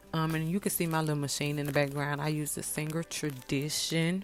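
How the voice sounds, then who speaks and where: With music in the background, a woman speaks in a very deep, low voice with a Mississippi accent and fairly even intonation. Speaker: wig maker and beauty vlogger. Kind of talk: tutorial. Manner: casual, halting.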